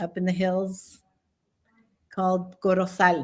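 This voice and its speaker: Spoken at a very slow pace with a Spanish accent, the recording is very clean with a silent background. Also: woman. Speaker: retired military and airline pilot. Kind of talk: podcast interview.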